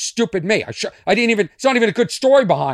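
With an American accent, a man talks in an animated tone with very wide pitch swings on a very clean recording with a silent background. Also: dry, close sound with no echo. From Boston. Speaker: comedian. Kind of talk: casual monologue, comedic storytelling. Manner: animated, rambling.

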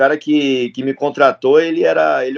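Fairly quick and fairly even in intonation, a plain, everyday voice speaks. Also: man. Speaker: MMA fighter and jiu-jitsu instructor. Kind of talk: casual chat.

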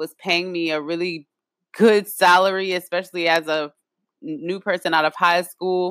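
A woman speaks in an animated tone at a moderate pace and fairly low pitch, the sound dry and close with no echo. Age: 20s. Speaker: podcast host. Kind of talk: personal storytelling monologue.

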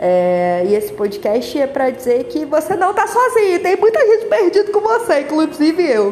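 Over noticeable background noise, a woman with an extremely high pitch keeps a moderate pace and very even loudness, hardly pausing while her pitch swings very widely. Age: 20s. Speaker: podcaster. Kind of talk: casual monologue. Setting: walking on the street. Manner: rambling and animated.

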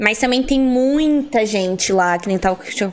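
A normal speaking voice at a fairly slow pace with ordinary pitch variation. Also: woman. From Curitiba metro area, southern Brazil. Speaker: breakdancer. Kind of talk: casual chat.

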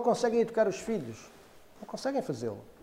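The speaker is a man with a high pitch. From Portugal, Cacém near Lisbon. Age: 50s. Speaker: theatre artist and former journalist. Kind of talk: interview monologue. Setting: in front of a camera. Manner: halting, with many repetitions and fillers.

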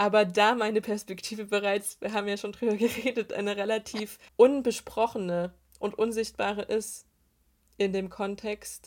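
A woman's medium-pitched voice stays monotone and flat. The recording is very clean, and the background is silent. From Saxony, Eastern Ore Mountains. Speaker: theology student and synodal delegate. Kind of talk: casual podcast interview.

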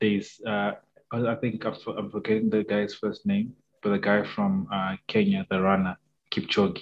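A man speaks at a fairly low pitch. His delivery is fairly slow and monotone, with flat intonation. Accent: Zimbabwean. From Zimbabwe. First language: Shona. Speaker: podcast co-host. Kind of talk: casual chat.

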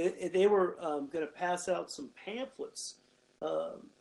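A man talks with a western US accent. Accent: western American. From Nevada, Carson Valley (Gardnerville). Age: 50s. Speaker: pastor. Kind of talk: casual interview, personal testimony.

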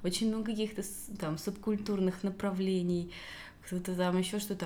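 Medium-pitched female voice at a moderate pace amid audible room echo. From Russia, Rostov region (Belaya Kalitva). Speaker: podcast co-host. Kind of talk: casual interview chat.

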